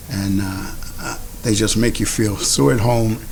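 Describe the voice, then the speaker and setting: A man speaks at a fairly low pitch with an American accent. Background noise is noticeable. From United States. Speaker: army veteran, clinic patient. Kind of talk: testimony. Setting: virtual fundraiser video.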